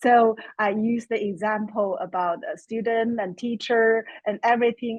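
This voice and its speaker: A woman talks with a Chinese accent. Her pitch sits fairly high. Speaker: course student. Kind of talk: webinar Q&A comment.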